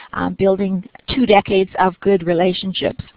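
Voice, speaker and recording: This is an ordinary speaking voice, delivered at a fairly quick pace. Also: woman. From Nova Scotia, Canada. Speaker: webinar moderator. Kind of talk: webinar introduction. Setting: online webinar.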